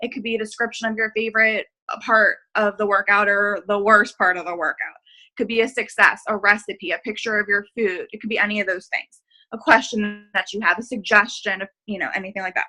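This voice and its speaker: A woman talks at a fairly quick pace in a bright, sharp tone with fairly high pitch. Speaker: fitness coach. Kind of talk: group video call briefing. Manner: fast; casual, filler-heavy.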